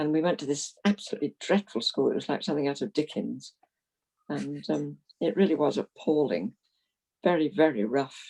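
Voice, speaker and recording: The voice has a dark, mellow tone with vocal fry and very wide pitch swings. The sound is dry and close, with no echo. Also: woman. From London, England (South Norwood). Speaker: retired Methodist minister. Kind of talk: interview, life story.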